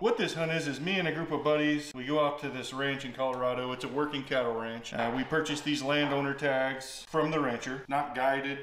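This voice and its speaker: Man at a fairly quick pace with fairly even intonation and audible room echo. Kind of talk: tutorial. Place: kitchen.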